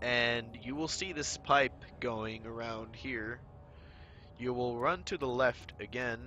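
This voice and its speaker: With music in the background, a man speaks very slowly at a medium pitch with ordinary pitch variation. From Finland. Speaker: speedrunner. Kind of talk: game tutorial commentary. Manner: hesitant, stuttering.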